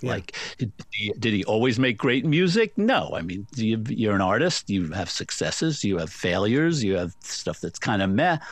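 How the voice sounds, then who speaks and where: Moderately paced speech from a man with an American accent, medium pitch, lively intonation and hardly any pauses. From New York. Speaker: music journalist and author. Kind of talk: interview. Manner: halting.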